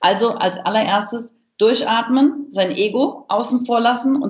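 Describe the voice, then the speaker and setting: A woman uses a plain, everyday voice, fairly high in pitch. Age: 30s. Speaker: business coach and speaker. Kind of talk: interview. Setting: video call.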